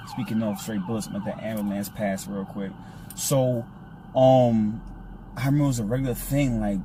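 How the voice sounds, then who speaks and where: With an American accent, a man speaks at a moderate pace and medium pitch with ordinary variation, leaving long, frequent pauses, amid audible room echo and noticeable background noise. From Brooklyn, New York. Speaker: video host. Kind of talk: casual chat. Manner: animated.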